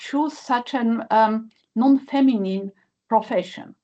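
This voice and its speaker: Speaking at a fairly slow pace with a Polish accent, a woman uses a fairly high pitch with ordinary variation. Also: quiet background. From Poland. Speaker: nuclear physicist, professor. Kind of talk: panel discussion. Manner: halting with many fillers.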